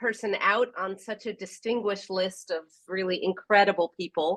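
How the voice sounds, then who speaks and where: This woman has a plain, everyday voice with an American accent and medium pitch. Her intonation is fairly even and her pace moderate. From US Northeast (New York). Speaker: professor and government technology expert. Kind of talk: guest lecture.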